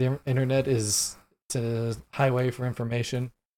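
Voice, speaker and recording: A man with an American accent speaks in a dark, mellow tone at medium pitch. His delivery is fairly slow, with monotone, flat intonation. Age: 30s. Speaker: podcast host. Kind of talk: solo commentary monologue. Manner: halting, many filler ums.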